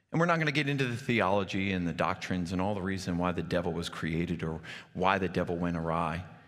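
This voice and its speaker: A man with an American accent, a very deep, low pitch, ordinary pitch variation and a very fast pace, with audible room echo. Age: 40s. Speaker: pastor. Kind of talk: sermon.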